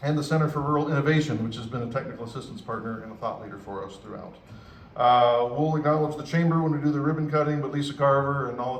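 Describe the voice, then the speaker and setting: A man talking at a very fast pace with ordinary pitch variation, with audible room echo. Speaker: university official. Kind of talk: ceremony speech acknowledgments. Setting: public event with audience. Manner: casual, animated.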